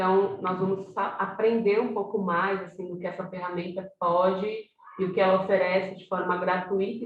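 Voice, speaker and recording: A woman speaks at a medium pitch. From Brazil, São Paulo south zone. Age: 40s. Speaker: workshop facilitator. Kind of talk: online workshop.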